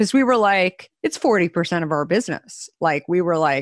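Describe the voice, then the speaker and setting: In an ordinary speaking voice, a woman with a fairly low pitch and lively intonation is heard in a very clean recording with a silent background and a dry, close sound with no echo. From Arizona. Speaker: beverage company founder and CEO. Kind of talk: interview conversation.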